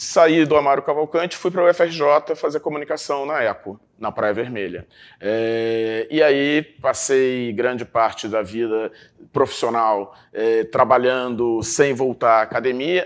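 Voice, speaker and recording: Delivered at a fairly slow pace with ordinary pitch variation, the speech sits on a very clean recording with a silent background. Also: man, medium pitch for a man. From Brazil, Rio de Janeiro (Botafogo). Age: 60s. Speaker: journalist. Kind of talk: interview. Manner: hesitant, many fillers.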